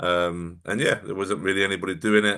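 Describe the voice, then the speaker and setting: Very deep, low male speech, bright and sharp in tone. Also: quiet background. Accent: London. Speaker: bodybuilding coach. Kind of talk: casual podcast interview.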